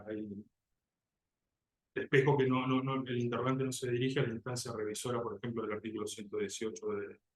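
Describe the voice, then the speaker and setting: A man's medium-pitched voice with fairly even intonation at a fairly quick pace. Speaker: job candidate, criminal defense lawyer. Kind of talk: oral exam. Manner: fast; halting, repeats words.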